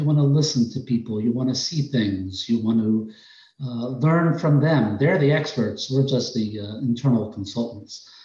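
A man speaks in a New York accent. His tone is dark, mellow and somewhat breathy. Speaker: healthcare process improvement director.

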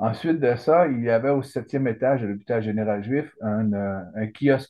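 Speaking fairly slowly, the man keeps a medium pitch and ordinary pitch variation. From Quebec, Saguenay–Lac-Saint-Jean. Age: 60s. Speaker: retired lawyer, cancer patient. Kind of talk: interview. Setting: video call. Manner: halting.

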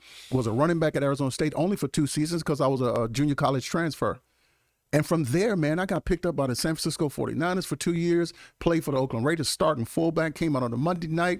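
A man with a Mississippi accent talks at a very fast pace and fairly high pitch, his tone animated and his pitch variation ordinary. His loudness is very even, in a very clean recording with a silent background. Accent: Southern US (Mississippi). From US South, Mississippi. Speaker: congressional candidate, pastor, former NFL player. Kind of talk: casual interview.

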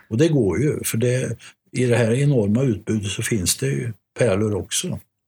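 This man's voice is somewhat breathy and fairly low in pitch. He speaks at a moderate pace. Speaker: art and record collector, jazz historian. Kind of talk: casual discussion.

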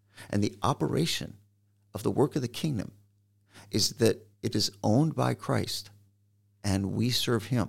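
A man with an American accent and vocal fry, at a fairly slow pace, with long, frequent pauses. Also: medium pitch for a man, lively intonation. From Michigan. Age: 60s. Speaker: pastor. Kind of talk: interview.

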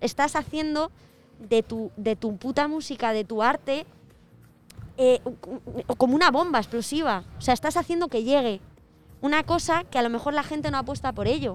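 Music plays behind a woman with a high pitch and lively intonation. She talks at a moderate pace with long, frequent pauses. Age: 20s. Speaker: guest co-presenter. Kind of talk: casual chat.

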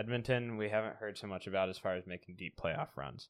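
Speaking fairly quickly with an American accent, a man uses a plain, everyday voice, fairly low in pitch with ordinary pitch variation. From US Pacific Northwest. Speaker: sports podcast host. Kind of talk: casual chat.

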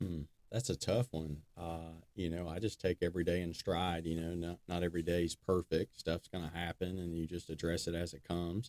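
Over background music, a man with an Alabama accent talks at a fairly quick pace in a very deep, low, monotone voice, the sound dry and close with no echo. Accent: Southern US (Alabama). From US South, northern Alabama (Decatur). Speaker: construction business owner. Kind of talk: casual interview.

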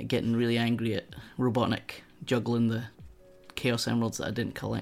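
A man speaks in a Scottish accent. His pitch is medium. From Scotland. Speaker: streamer. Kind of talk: casual chat.

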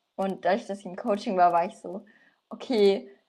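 Using a dark, mellow tone, a woman of medium pitch speaks at a fairly quick pace. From Franconia, Germany (Nürnberg). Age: 20s. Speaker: coaching client, student. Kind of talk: casual interview.

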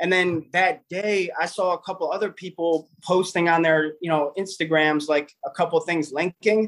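Speaking at a moderate pace, a man with a high pitch and an American accent keeps a fairly even intonation. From Cleveland, Ohio, US. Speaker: NFT artist and former music producer. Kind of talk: casual chat. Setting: video call from home studio.

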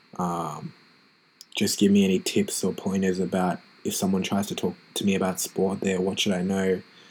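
The pace is moderate. Intonation stays monotone and flat throughout. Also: man, very deep, low pitch for a man. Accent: Australian. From Australia. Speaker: podcast host, physiotherapist. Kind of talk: casual solo podcast monologue.

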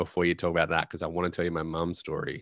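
With an Australian accent, a man talks in a very deep, low pitch and a bright, sharp tone, recorded very cleanly against a silent background with a dry, close sound and no echo. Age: 20s. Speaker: pilot and motivational speaker. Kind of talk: interview.

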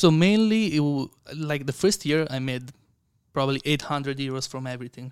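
A man with an Italian accent and fairly high pitch. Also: ordinary pitch variation, fairly quick pace. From Italy. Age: 20s. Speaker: content creator and investor. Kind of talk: casual interview chat.

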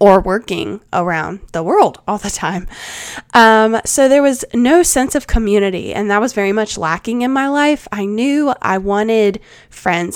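A woman talks with a South Carolina accent. Her pitch is medium, with ordinary variation. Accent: Southern US (South Carolina). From US South, Charleston, South Carolina. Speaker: podcast host and life coach. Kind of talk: casual advice chat.

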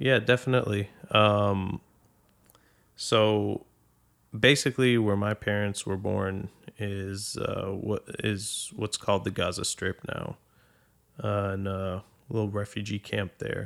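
A man with an American accent, fairly low in pitch and monotone and flat, at a very slow pace with long, frequent pauses, on a very clean recording with a silent background. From Boston, Massachusetts. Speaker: podcast guest. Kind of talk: casual chat.

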